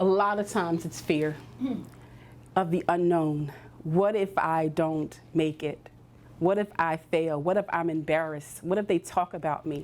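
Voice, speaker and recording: A woman in a Philadelphia accent, fairly low-pitched, with fairly even intonation and a fairly slow pace. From US Northeast, Philadelphia. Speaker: career coach. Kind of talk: workshop talk.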